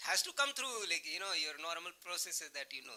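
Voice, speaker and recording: A loud voice speaks at a fairly quick pace with ordinary pitch variation. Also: man. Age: young. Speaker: physicist. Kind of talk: panel discussion.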